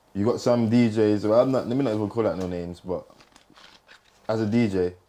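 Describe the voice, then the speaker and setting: A man speaks at a fairly low pitch. His pace is fairly quick and his intonation fairly even. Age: 20s. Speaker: DJ and podcast host. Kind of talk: casual chat. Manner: halting.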